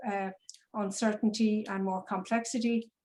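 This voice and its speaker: With an Irish accent, a woman talks in a flat monotone. Her pitch sits fairly high. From Ireland. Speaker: business psychologist. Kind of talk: presentation. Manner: hesitant, many fillers and repetitions.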